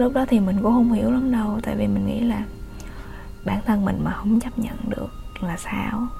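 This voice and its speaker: The talking goes at a fairly brisk clip. Behind it, music is playing. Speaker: solo podcaster. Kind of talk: personal storytelling monologue. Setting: home recording during lockdown. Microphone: poor home recording sound.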